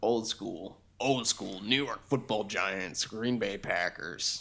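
Fairly slow, medium-pitched put-on character voice from a man. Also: ordinary pitch variation. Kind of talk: sports-talk. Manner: tough, gruff, nostalgic.

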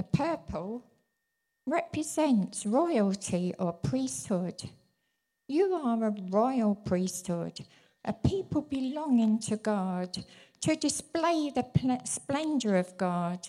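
In a very clean recording with a silent background, a woman speaks very slowly in a dark, mellow, somewhat breathy tone, her fairly high pitch making very wide swings. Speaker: church minister's wife, prophetic speaker. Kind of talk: prophetic word. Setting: church.

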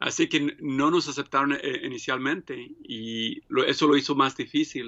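This man's voice is fairly high in pitch. He speaks at a very slow pace. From Mexico (Michoacán), raised in US from age 7. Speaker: printmaker and painter. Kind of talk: interview. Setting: studio. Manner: halting, many fillers.

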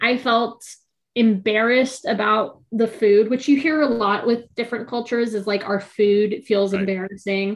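A woman with a Californian accent speaks with fairly even intonation. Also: fairly high pitch for a woman, moderate pace. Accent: Californian American. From US West Coast (Orange County, California). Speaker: poet and writer. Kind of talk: casual interview chat.

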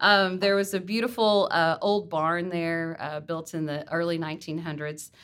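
At a moderate pace, a woman with a fairly low pitch talks with fairly even intonation. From US South, Texas (Garland area); born in Mississippi. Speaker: museum executive director. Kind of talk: interview, casual chat. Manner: hesitant, many fillers.

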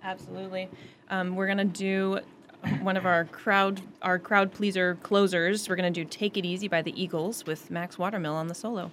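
This woman talks at a moderate pace with a medium pitch and monotone, flat intonation. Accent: American. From Northampton, Massachusetts. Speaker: high school choir director. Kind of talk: casual radio interview. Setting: radio studio.

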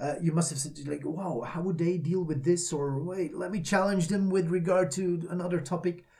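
A man with a non-native accent and a high pitch talks with hardly any pauses. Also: moderate pace. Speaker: corporate trainer and podcast co-host. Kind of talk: casual chat.

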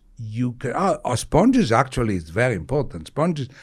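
A man's medium-pitched voice with an Italian accent and lively intonation, in a very clean recording with a silent background. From Italy. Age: 60s. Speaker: retired surgeon. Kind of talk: interview.

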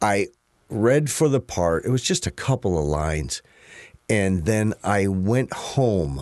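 A man with an American accent speaks at a very slow pace with a fairly low pitch. His pitch swings very widely while his loudness stays very even. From US Midwest, St. Louis area, Missouri. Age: 50s. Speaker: actor. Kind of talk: casual chat.

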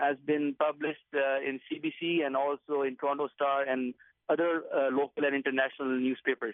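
Speaking at a moderate pace, a man with a fairly high pitch keeps a monotone, flat intonation and very even loudness. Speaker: caller. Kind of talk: call-in conversation. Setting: phone call from an outdoor rally. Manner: halting.

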